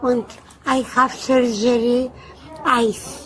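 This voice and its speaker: Amid noticeable background noise, a woman with a Bulgarian accent speaks very slowly at a high pitch. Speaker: elderly airline passenger, victim. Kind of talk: police questioning. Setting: airport. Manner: halting broken English.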